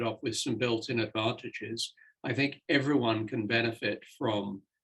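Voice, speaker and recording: With fairly even intonation and a somewhat breathy quality, the voice proceeds at a fairly slow pace. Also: man. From Britain. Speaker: senior scientist and mentor. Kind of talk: panel discussion.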